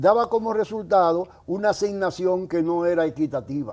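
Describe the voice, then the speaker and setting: A man talks at a moderate pace with a high pitch. His tone is dark and mellow, with ordinary pitch variation. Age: 80s+. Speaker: social security economist. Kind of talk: interview.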